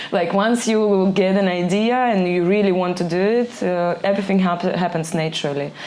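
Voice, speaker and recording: Speaking at a moderate pace with a Ukrainian accent, a woman with a fairly low pitch and ordinary pitch variation is heard over noticeable background noise and audible room echo. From Ukraine. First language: Ukrainian or Russian. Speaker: DJ and label owner. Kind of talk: podcast interview. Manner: halting, searching for words.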